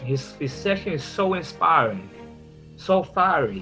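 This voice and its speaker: The voice swings very widely in pitch, with music in the background. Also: man. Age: 50s. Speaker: adult learner working toward a high school diploma, church minister. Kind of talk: personal story told to camera.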